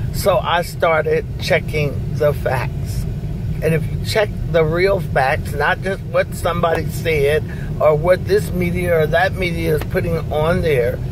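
Over noticeable background noise, a woman speaks at a fairly slow pace in a dry sound with no echo. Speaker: mother-in-law sharing a personal story. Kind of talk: interview answer. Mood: earnest, persuasive. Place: car. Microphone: phone near.

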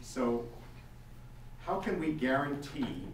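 Amid light background noise and audible room echo, a man talks with ordinary pitch variation. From Toronto, Canada. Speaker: debate moderator; audience member. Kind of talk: moderating a public debate; debate question. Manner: halting. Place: meeting room.

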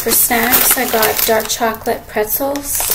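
Over faint background noise, a woman speaks slowly at a fairly high pitch, her tone fairly bright and her intonation fairly even.

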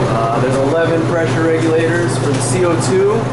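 A man keeps a moderate pace while loud noise runs in the background. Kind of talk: casual walkthrough commentary. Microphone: helmet.

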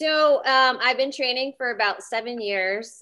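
Bright, sharp female voice with an American accent, at a fairly slow pace, over a quiet background. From Pennsylvania, Reading area; Pennsylvania. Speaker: Brazilian jiu-jitsu competitor; interview guest. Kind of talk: interview. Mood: relaxed, friendly. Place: home room. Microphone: video call.

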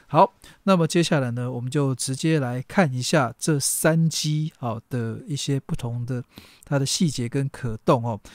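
In a very clean recording with a silent background and a dry, close sound with no echo, a man with a Taiwanese accent speaks at a fairly slow pace with medium pitch and ordinary pitch variation. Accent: Taiwanese Mandarin. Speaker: toy reviewer. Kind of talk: unboxing review. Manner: casual, lots of filler particles.

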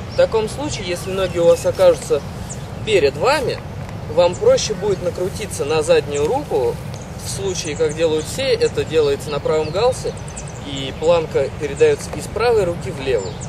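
Speaking at a moderate pace with long, frequent pauses, a man is heard over noticeable background noise. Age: 20s. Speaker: kiteboarding team rider and instructor. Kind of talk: tutorial.

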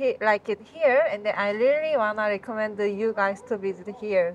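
Fairly slow pace from a woman, with ordinary pitch variation. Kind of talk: interview answer. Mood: cheerful, laughing. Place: cafe. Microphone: phone near.

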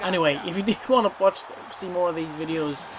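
A man speaks with ordinary pitch variation. Noticeable background noise runs behind him. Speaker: gamer streamer. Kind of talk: casual gameplay commentary. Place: home room. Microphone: headset.

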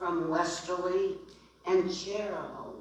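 A woman talks very slowly with lively intonation, with noticeable background noise and audible room echo in the recording. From Rhode Island. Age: 80s+. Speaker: public commenter. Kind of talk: public comment. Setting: podium at public meeting.

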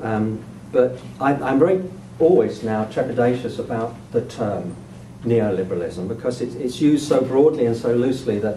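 A medium-pitched man at a moderate pace with ordinary pitch variation, amid noticeable background noise. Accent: British. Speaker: sociology of education professor. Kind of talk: lecture. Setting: stage with audience. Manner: halting.

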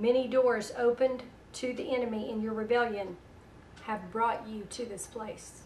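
A woman with a Southern US accent talks at a moderate pace with a fairly high pitch and monotone, flat intonation over light background noise. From US South. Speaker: internet radio host and prophetic minister. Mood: calm, earnest. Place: home room.

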